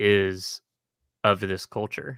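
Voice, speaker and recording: With an American accent, a man with a fairly low voice and a bright, sharp tone is heard in a dry, close sound with no echo on a very clean recording with a silent background. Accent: Texan accent, comes and goes. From Texas (Houston). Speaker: streamer discussing a TV series. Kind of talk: casual chat. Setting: live stream. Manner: animated.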